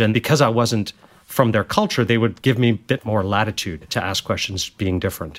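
At a moderate pace, this is an unremarkable speaking voice with a Canadian accent. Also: man. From Canada. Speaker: medtech company CEO. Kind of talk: interview.

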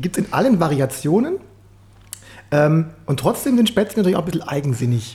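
Speaking at a fairly quick pace with long, frequent pauses, a man uses a high pitch with very wide pitch swings. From Swabia, Germany. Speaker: podcast host. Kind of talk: casual interview chat.

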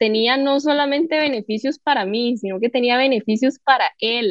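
A woman speaks in a high voice. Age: 20s. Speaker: entrepreneur. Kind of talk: casual chat.

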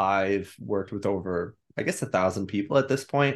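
A man's plain, everyday voice with an American accent, at a moderate pace over a quiet background. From New York. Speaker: psychotherapist and mindset coach. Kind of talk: interview.

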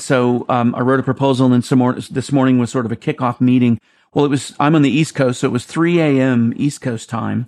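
A man with a normal speaking voice, fairly quick pace, very even loudness and fairly even intonation over a quiet background. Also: medium pitch for a man. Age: 50s. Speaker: creative executive and theme park designer. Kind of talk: interview.

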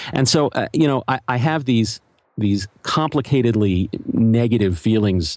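A man with an American accent speaks in a normal speaking voice, fairly low in pitch, with lively intonation at a moderate pace. The sound is dry and close with no echo, over a quiet background. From Philadelphia, US. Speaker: journalist and podcaster. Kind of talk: interview conversation.

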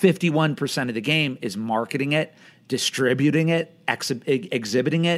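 A man talks in an unremarkable speaking voice with fairly high pitch. His intonation is lively. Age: 40s. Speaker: film screening company executive. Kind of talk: casual interview. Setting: video call.

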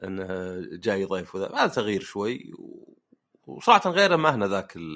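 A man's very deep, low voice at a moderate pace. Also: very clean recording, silent background. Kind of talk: casual chat.

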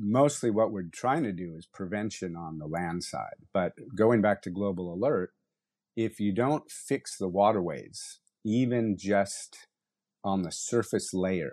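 A man with an American accent has a plain, everyday voice at a fairly low pitch, with ordinary pitch variation and a fairly slow pace. His loudness swings widely against a quiet background. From United States. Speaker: ocean conservation NGO founder. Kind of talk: interview. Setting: remote call.

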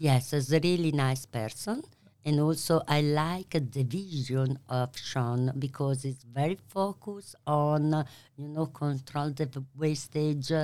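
A woman with an Italian accent speaks very slowly, her pitch very deep and low with a dark, mellow tone and ordinary variation. The recording is very clean, with a silent background. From Italy. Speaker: pasta maker and business owner. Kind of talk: interview.

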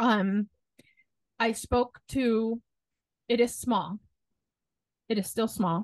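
A woman with a fairly high pitch talks at a very slow pace, leaving long, frequent pauses and keeping her intonation fairly even. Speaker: podcast co-host. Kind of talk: casual chat.

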